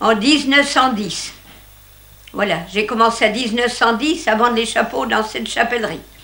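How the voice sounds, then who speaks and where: A woman speaks at a fairly high pitch with ordinary pitch variation. Audible room echo and noticeable background noise fill the recording. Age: 80s+. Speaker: retired hat seller. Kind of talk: interview. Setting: in her old shop.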